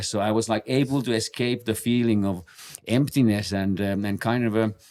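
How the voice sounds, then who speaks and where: Over a silent background in a very clean recording, a man talks at a moderate pace with a fairly low pitch and fairly even intonation. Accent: Finnish. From Finland. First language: Finnish. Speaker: base jumper and podcast co-host. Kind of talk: casual chat. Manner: halting, many fillers and repetitions.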